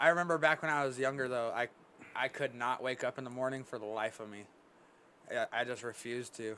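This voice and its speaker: Fairly quick overall, a man speaks in a bright, sharp tone, broken by long, frequent pauses and big swings in loudness. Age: 20s. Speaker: podcast host. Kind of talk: casual chat.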